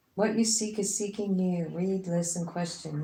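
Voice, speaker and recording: A woman's somewhat breathy, dark, mellow voice at medium pitch carries audible room echo. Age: 60s. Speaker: tarot reader. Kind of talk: casual chat. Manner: animated.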